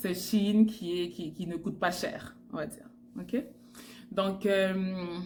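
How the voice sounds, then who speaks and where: Somewhat breathy speech comes at a very slow pace, with big swings in loudness, ordinary pitch variation and audible room echo. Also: woman, medium pitch for a woman. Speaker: fashion stylist vlogger. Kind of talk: tutorial. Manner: hesitant with fillers.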